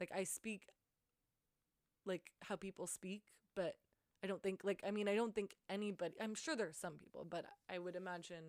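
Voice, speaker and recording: A woman with a medium pitch and fairly even intonation speaks at a moderate pace with long, frequent pauses, in a dry, close sound with no echo. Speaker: artist podcaster. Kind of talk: casual solo monologue. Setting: alone in her room with handheld recorder. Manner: halting, stumbling over words; filler-heavy, like and um.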